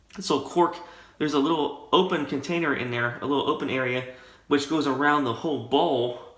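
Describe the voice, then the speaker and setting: Audible room echo accompanies a man speaking at a fairly high pitch. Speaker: wet shaving YouTuber. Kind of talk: casual tutorial monologue. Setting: home shaving room. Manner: soft-spoken.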